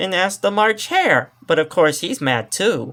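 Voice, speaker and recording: Delivered fairly slowly, the voice is a put-on character voice. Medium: read story. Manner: smug, wisecracking.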